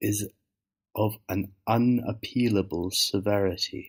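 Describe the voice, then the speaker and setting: A soft-spoken man's fairly low voice with monotone, flat intonation. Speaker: ASMR reader. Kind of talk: audiobook reading.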